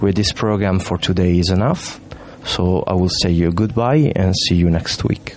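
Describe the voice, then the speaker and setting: A man's very deep, low voice with an Italian accent, very even loudness, ordinary pitch variation and a moderate pace, over noticeable background noise. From Italy. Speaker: student radio presenter. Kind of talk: casual chat. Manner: halting.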